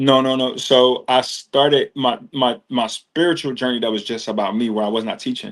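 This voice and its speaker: This man's voice has a medium pitch and moves at a moderate pace. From US Northeast, Trenton, New Jersey. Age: 40s. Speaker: yoga and meditation teacher. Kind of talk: casual interview chat. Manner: casual, slangy.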